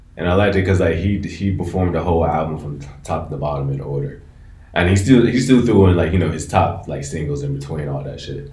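A man with an American accent and a very deep, low pitch speaks very fast in a dark, mellow, somewhat breathy tone, with ordinary pitch variation and big swings in loudness. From DMV (Washington DC area). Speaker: podcast host. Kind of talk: casual chat.

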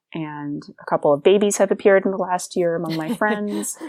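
An ordinary speaking voice, a woman at a fairly quick pace on a very clean recording with a silent background. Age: 30s. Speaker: classical singer. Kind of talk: casual chat.

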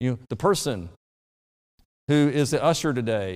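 A man with an Alabama accent, medium pitch, very wide pitch swings and a moderate pace. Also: very clean recording, silent background. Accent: Southern US (Alabama). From US South, rural Alabama. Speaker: pastor. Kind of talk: sermon.

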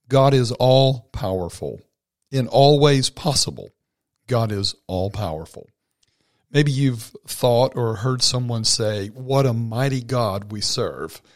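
On a very clean recording with a silent background, a man speaks. His pace is very slow and his pitch varies in an ordinary way. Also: medium pitch for a man. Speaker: devotional podcast host. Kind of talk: short devotional talk; prayer.

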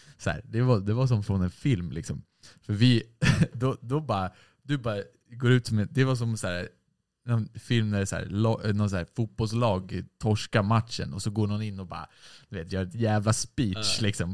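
A man talks in a normal speaking voice at a fairly low pitch and moderate pace, with ordinary pitch variation. The sound is dry and close with no echo. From Sweden, Stockholm (Hägersten). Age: 20s. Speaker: musician in a band. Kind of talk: casual chat.

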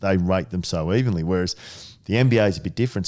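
A man with an Australian accent, very deep and low in pitch, with a dark, mellow tone. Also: very clean recording, silent background. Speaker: sports management CEO, former footballer. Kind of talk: casual interview.

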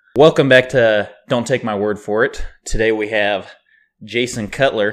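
A man with an American accent, medium-pitched, fairly slow, an unremarkable speaking voice on a very clean recording with a silent background. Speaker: podcast host. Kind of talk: scripted intro; casual chat.

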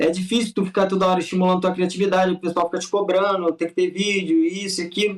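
A man with a high pitch rushes along at a very fast pace with hardly any pauses, keeping a very even loudness and a monotone, flat intonation. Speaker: youtuber making charity videos. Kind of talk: casual chat. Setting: video call.

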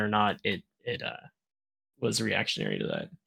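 A man talks at a moderate pace and medium pitch. His tone is bright and sharp, with vocal fry. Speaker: tabletop game player. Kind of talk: tabletop roleplaying game session.

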